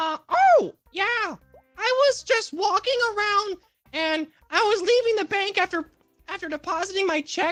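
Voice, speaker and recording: Faint music plays behind a squeaky, put-on character voice at an extremely high pitch, moving at a moderate pace with long, frequent pauses. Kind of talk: comic roleplay testimony. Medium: virtual streamer. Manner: rambling, deadpan.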